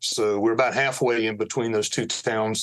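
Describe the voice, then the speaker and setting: In a normal speaking voice, a man talks with an American accent at medium pitch. His pace is fairly quick and his intonation fairly even. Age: 60s. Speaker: lawyer. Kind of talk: podcast interview. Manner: conversational, with many fillers.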